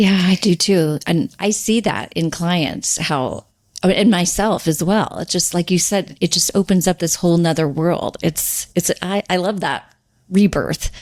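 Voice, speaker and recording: In an unremarkable speaking voice, a woman talks at a fairly slow pace with fairly low pitch and ordinary pitch variation. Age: 60s. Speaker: podcast host, sobriety coach. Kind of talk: casual interview chat.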